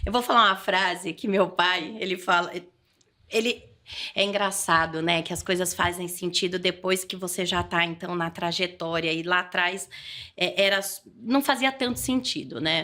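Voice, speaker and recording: In a São Paulo interior accent, a woman speaks at a moderate pace with a bright, sharp tone, medium pitch and ordinary pitch variation, in a very clean recording with a silent background. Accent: caipira accent (rural São Paulo). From interior of São Paulo state, Brazil (Adamantina). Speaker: political leader and trainer. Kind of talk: podcast interview. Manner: halting, with frequent repetitions.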